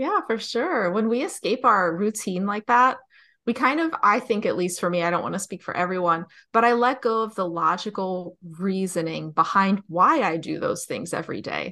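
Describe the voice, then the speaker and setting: A woman with an American accent, bright and sharp in tone, lively in intonation and moderate in pace, over a quiet background. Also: medium pitch for a woman. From New Jersey. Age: 30s. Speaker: author and dating podcast host. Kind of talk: casual interview chat.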